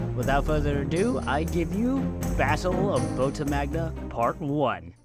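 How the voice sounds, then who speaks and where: A man at a fairly slow pace, very even loudness, music in the background. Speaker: hobbyist story narrator. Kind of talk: casual talk to camera.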